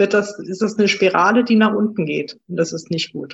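At a moderate pace, a woman speaks in a somewhat breathy voice of medium pitch with ordinary variation. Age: 40s. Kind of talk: interview.

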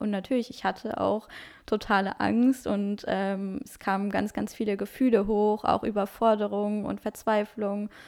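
A woman speaks in a flat monotone at medium pitch and a fairly slow pace, her loudness swinging widely. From Luxembourg. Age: 20s. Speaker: health coach. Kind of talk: interview.

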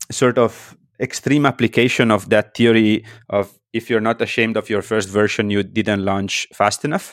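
The speaker has an Italian accent and a moderate pace. The recording is very clean with a silent background and a dry, close sound with no echo. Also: man. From northern Italy, near Austrian border. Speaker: startup founder. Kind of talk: interview. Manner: halting.

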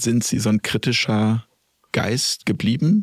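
A man with a normal speaking voice and a medium pitch talks fairly slowly with ordinary pitch variation, in a dry, close sound with no echo. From Lippe, Germany. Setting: studio.

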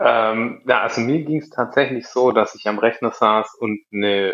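Here a man speaks with medium pitch and fairly even intonation. His pace is moderate. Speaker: app developer, co-founder. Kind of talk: casual interview chat.

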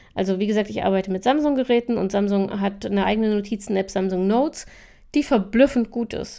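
The recording is very clean, with a silent background. A woman with a dark, mellow tone talks at a fairly quick pace. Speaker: podcast host on time management. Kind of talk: casual solo podcast talk. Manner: casual with frequent fillers.

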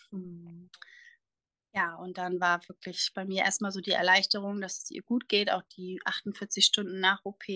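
A woman speaks at medium pitch with a bright, sharp tone and monotone, flat intonation, her loudness swinging widely. Her fairly slow delivery sounds dry and close with no echo, over a quiet background. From northern Germany, near Bremerhaven. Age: 20s. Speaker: nurse and cancer survivor. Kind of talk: interview, personal testimony.

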